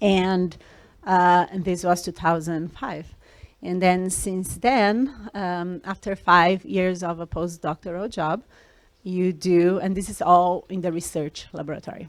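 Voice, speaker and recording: A woman speaks with a Brazilian accent at a medium pitch and a fairly slow pace. Her intonation is fairly even, and the recording is very clean with a silent background. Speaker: scientist. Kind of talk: talk to students. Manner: hesitant, many fillers.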